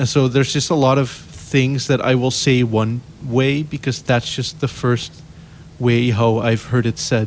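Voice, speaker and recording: At a fairly slow pace, the speech keeps very even loudness and fairly even intonation. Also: man, medium pitch for a man. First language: Dutch. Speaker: content creator. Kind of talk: casual chat. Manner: rambly, mumbled.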